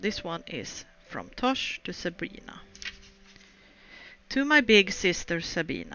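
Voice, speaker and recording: Spoken with a non-native accent, the voice moves through very wide pitch swings. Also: woman. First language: not English. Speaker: video game streamer. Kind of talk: let's play commentary with reading aloud. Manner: halting.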